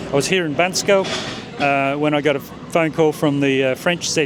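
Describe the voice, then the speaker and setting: Fairly high-pitched man with an Australian accent, moderate pace and fairly even intonation, over noticeable background noise. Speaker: startup founder. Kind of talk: interview. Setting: in-person at a nomad festival.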